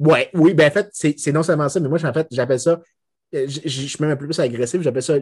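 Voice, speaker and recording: Against a quiet background, a man with a fairly high pitch sounds somewhat breathy. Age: 30s. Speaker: economics lecturer. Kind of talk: casual chat.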